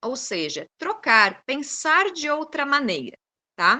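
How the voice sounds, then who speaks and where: Bright and sharp in tone, a woman moves at a very slow pace through very wide pitch swings. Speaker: food science researcher and seminar speaker. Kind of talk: lecture.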